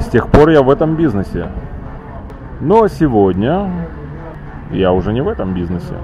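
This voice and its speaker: With music in the background, a man at medium pitch speaks at a moderate pace, his pitch swinging very widely, with long, frequent pauses. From Ukraine, Kyiv. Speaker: metal band frontman. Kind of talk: casual interview. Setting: microbrewery bar in Tel Aviv. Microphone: old media player recording, poor quality.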